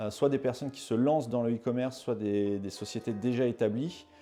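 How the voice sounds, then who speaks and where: Over music in the background, the speaker talks at a moderate pace with ordinary pitch variation. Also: man. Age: 30s. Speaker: e-commerce agency owner. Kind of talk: interview testimony. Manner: hesitant, many fillers and repetitions.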